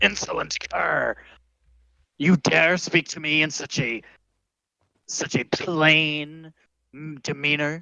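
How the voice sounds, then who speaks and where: A booming, put-on character voice sits at middle pitch. The pauses are long and frequent. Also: fairly slow pace. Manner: pompous, commanding.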